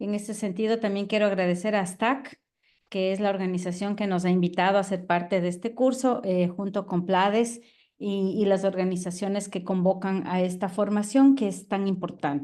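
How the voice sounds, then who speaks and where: A woman with an Ecuadorian accent speaks in a dark, mellow tone at medium pitch and a moderate pace, with fairly even intonation and audible room echo. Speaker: professor, biologist and environmental activist. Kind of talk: online lecture.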